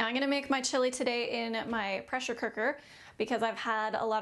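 A high-pitched woman at a fairly quick pace. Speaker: home cook host. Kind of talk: tutorial. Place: kitchen. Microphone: phone near.

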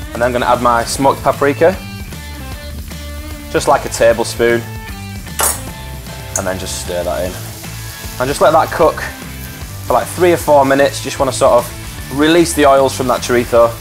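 Faint music plays in the background as a man talks at a moderate pace, leaving long, frequent pauses. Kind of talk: tutorial. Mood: relaxed, jokey. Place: kitchen.

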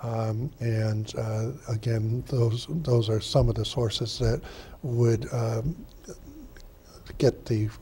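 A man speaks at a very slow pace with monotone, flat intonation. Light background noise is present. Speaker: board member giving report. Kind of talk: meeting report, partly reading. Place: meeting room.

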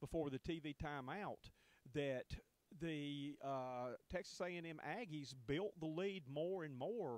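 A man with a fairly high pitch and ordinary pitch variation

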